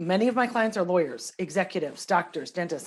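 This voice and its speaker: A woman speaks at a very fast pace, her pitch fairly low. The recording is very clean, with a silent background. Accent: American. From Minnesota. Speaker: nutritional therapy practitioner, former litigator. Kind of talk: podcast interview.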